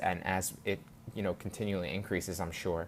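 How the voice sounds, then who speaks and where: A man speaks at a fairly quick pace and a fairly low pitch. His intonation stays fairly even. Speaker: online course instructor. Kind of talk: course lecture, direct address to students. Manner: fast; halting, many fillers and repeats.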